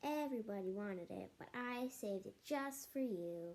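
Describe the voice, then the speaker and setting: A woman's put-on character voice, medium in pitch, lively in intonation, at a moderate pace. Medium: read story. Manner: cajoling, good-natured.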